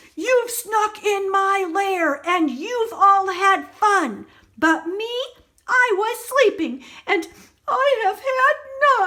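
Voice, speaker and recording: In a put-on character voice, a woman talks at a very slow pace with an extremely high pitch. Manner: grumpy, annoyed.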